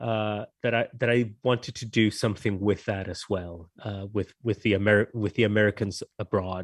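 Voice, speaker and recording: Against a quiet background, a fairly low-pitched man with a slight non-native accent speaks at a moderate pace in a flat monotone with hardly any pauses, the sound dry and close with no echo. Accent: slight foreign. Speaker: novelist. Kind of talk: interview. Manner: halting, many repetitions.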